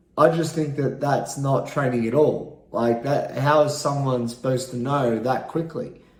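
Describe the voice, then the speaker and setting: The speaker has an Australian accent, a moderate pace and fairly even intonation, with noticeable background noise. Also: man, fairly high pitch for a man. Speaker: vlogger. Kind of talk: casual monologue vlog. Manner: halting, many fillers.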